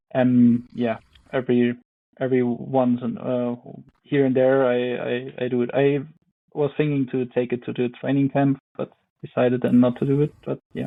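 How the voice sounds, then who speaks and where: A man with a German accent speaks at a moderate pace with long, frequent pauses. His intonation is monotone and flat. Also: medium pitch for a man. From Germany, Ore Mountains (Saxony). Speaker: professional biathlete. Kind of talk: interview. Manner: halting.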